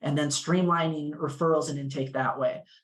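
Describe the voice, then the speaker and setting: Fairly quick and somewhat breathy, a man talks at a fairly high pitch. His intonation is monotone and flat. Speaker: legal clinic tax advocate. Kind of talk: panel discussion. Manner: fast.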